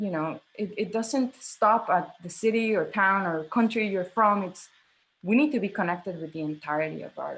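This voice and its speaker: Over a quiet background, a woman with a Spanish accent speaks at a moderate pace, somewhat breathy, with lively intonation. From Mexico. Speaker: theatre director. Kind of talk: interview conversation.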